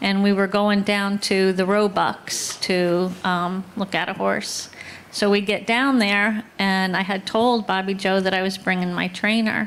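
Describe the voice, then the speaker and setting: Against noticeable background noise, a woman at a medium pitch talks at a fairly slow pace with fairly even intonation. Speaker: horse owner sharing memories. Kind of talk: eulogy story at memorial. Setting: outdoor barn gathering, livestreamed. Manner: casual storytelling.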